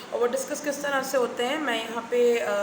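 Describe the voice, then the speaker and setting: A woman speaks in a high voice. Noticeable background noise and audible room echo fill the recording. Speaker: vlogger and teacher. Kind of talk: casual vlog monologue. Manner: hesitant, many fillers.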